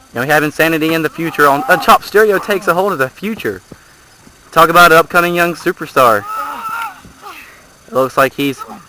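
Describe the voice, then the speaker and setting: A man's fairly high voice at a fairly quick pace, broken by long, frequent pauses, with a dry, close sound with no echo and noticeable background noise. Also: ordinary pitch variation. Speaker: wrestling commentator. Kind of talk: live commentary. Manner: fast; animated.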